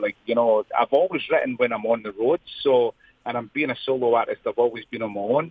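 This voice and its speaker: A man with a Scottish accent, fairly quick and lively in intonation. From Scotland, Lanarkshire and near Edinburgh. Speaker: singer-songwriter. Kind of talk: interview. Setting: phone call.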